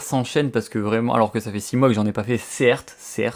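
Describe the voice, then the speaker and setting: A man at a very fast pace. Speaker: comics YouTuber. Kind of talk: unboxing, casual video. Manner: animated, excited; hesitant with fillers.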